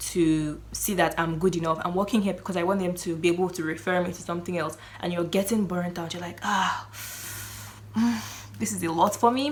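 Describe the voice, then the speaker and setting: Amid noticeable background noise and audible room echo, a woman speaks fairly quickly in a fairly low pitch with ordinary pitch variation. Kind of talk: casual faith talk to camera. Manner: halting, self-correcting.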